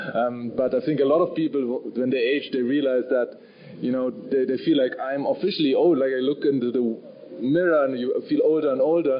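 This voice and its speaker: With noticeable background noise behind him, a man with a German accent speaks fairly quickly at a fairly high pitch, his intonation fairly even. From Germany, Bavaria. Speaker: novelist. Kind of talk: panel discussion. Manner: halting, many fillers and repeats.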